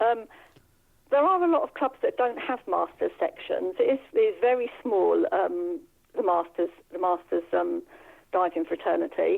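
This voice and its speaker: A woman speaks with a southern English accent. She keeps a moderate pace. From England, Bedfordshire. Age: 60s. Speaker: masters diver. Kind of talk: interview. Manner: hesitant.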